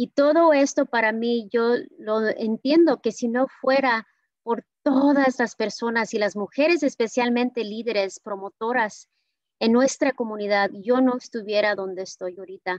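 A woman talks at a fairly slow pace and fairly high pitch with ordinary pitch variation, the sound dry with no echo and the background quiet. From California, Watsonville (Mexican-born); California. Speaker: public health official; conference speaker. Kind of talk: speech. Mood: warm, grateful. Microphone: video call.

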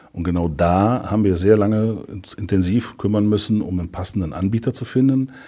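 Against a quiet background, a man talks at a fairly quick pace in a fairly low voice with a dark, mellow tone. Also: ordinary pitch variation. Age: 50s. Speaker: insurance district director. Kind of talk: customer testimonial interview. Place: office.

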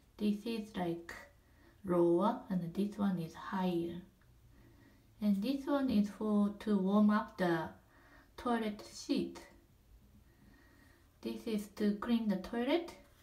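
A woman's dark, mellow, somewhat breathy voice at a very slow pace, with long, frequent pauses and ordinary pitch variation. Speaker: apartment resident giving a home tour. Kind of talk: casual home tour narration. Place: bathroom. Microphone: phone near.

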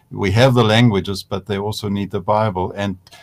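A man talks in a plain, everyday voice. His pitch is fairly low and his intonation fairly even. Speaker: seminary moderator. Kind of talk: panel discussion. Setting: video call. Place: home room.

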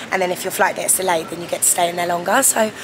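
A woman with monotone, flat intonation at a fairly quick pace, over noticeable background noise. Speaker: travel vlogger. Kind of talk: casual vlog chat. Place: station. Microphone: phone near.

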